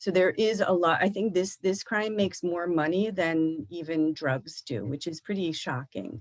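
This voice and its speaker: A woman speaks at a fairly slow pace in a normal speaking voice. Her pitch is fairly low, with ordinary variation. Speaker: government official, trafficking expert. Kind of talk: Q&A after a lecture. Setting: live stream presentation.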